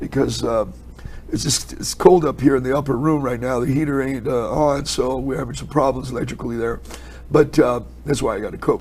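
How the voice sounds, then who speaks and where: A man at a moderate pace, with audible room echo. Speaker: Bible teacher. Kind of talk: sermon. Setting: indoor upper room, cold.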